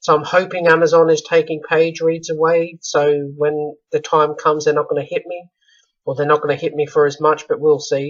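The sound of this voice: This man's strained voice sits at a fairly high pitch, with a fairly bright tone and little pitch movement.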